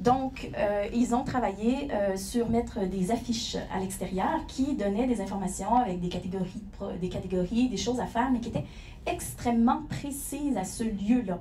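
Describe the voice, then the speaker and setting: A woman speaks in a Quebec accent at a moderate pace, her fairly high pitch showing ordinary variation. Noticeable background noise and audible room echo fill the recording. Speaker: company founder and CEO. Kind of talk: conference presentation. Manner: hesitant, many fillers.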